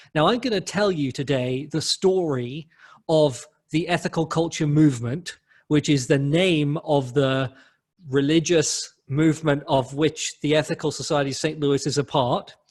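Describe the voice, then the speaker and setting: Somewhat breathy, a man speaks at a moderate pace and a fairly high pitch with ordinary pitch variation. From London, England. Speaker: humanist clergy leader. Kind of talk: lecture.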